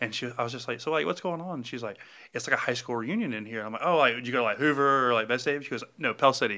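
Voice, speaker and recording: Speaking in a Southern US accent, a man talks at a very fast pace in a medium-pitched, bright, sharp tone. His pitch varies in an ordinary way, against a quiet background. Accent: US South. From Alabama. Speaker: bar owner. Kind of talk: casual chat.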